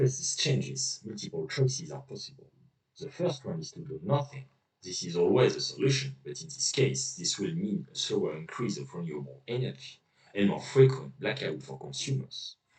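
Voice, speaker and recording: With a non-native accent, a man speaks at a moderate pace, his loudness swinging widely. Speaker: researcher. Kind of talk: scientific poster presentation. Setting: poor recording quality.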